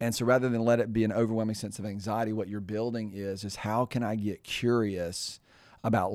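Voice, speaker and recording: A man's fairly low voice at a fairly quick pace, an unremarkable speaking voice with fairly even intonation, on a very clean recording with a silent background. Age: 50s. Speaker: podcast co-host. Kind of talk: casual chat.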